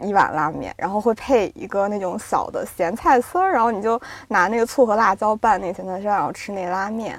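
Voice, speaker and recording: At a fairly quick pace, a woman speaks in a plain, everyday voice with medium pitch and ordinary pitch variation. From northwest China, Yinchuan. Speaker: magazine editor. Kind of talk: casual chat.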